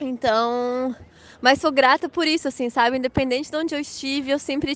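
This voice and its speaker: A woman speaks in a high voice with fairly even intonation over a quiet background. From Blumenau, Santa Catarina, southern Brazil. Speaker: mother and Waldorf education graduate. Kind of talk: casual interview chat.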